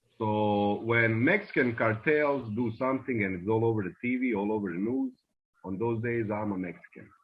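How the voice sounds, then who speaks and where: Speaking with a slight Bosnian accent, this man has a medium pitch. His pace is moderate and his pitch variation ordinary. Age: 20s. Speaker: immigrant interviewee. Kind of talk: interview.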